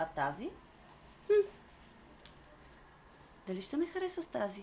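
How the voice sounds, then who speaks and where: A woman's voice with very wide pitch swings. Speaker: actor. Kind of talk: dramatic monologue.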